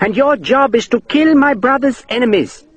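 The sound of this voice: A man performs a put-on character voice at an extremely high pitch. He moves at a moderate pace, and there is hissing.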